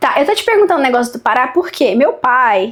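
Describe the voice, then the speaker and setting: The woman speaks at a high pitch. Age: 30s. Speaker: podcast host. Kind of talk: interview.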